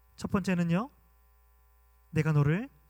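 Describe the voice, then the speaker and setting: A man's high-pitched voice, full of lively intonation, comes through with a dry, close sound and no echo. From Gwangju, South Korea. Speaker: pastor. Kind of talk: sermon.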